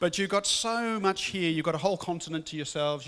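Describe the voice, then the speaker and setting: A man talks at a very fast pace. He has a slight English accent. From England, Birmingham. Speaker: guest speaker. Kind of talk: interview.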